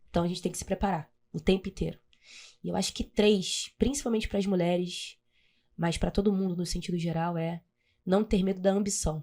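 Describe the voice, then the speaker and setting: A woman of medium pitch speaks at a moderate pace, in a dark, mellow tone with ordinary pitch variation. She takes long, frequent pauses on a very clean recording with a silent background. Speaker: municipal government secretary. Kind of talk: interview.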